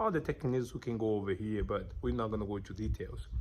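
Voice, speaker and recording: A man with a strong non-native accent talks at a fairly quick pace. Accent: thick foreign. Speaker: business vlogger. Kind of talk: motivational talk to camera.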